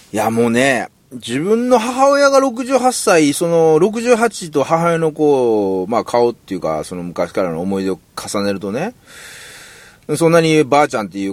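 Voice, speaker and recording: The speaker talks at a moderate pace with very wide pitch swings. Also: man. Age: 40s. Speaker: singer-songwriter. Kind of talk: casual monologue. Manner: halting.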